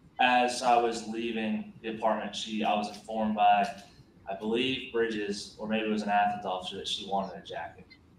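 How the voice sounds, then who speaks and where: Over noticeable background noise and audible room echo, a man with a fairly low pitch speaks at a fairly quick pace in a monotone, flat delivery. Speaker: police officer witness. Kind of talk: courtroom testimony. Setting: courtroom.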